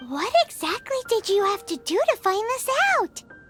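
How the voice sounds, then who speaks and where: A squeaky, put-on character voice at an extremely high pitch moves at a moderate pace over clear background music. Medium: video game.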